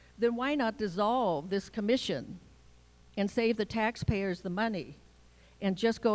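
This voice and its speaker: A woman with a normal speaking voice keeps ordinary pitch variation and a moderate pace. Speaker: public commenter. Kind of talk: public comment. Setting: public meeting.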